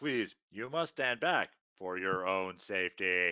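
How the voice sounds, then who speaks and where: This man's voice is pitched very deep and low. He is doing a put-on character voice. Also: fairly slow pace. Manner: polite, warning.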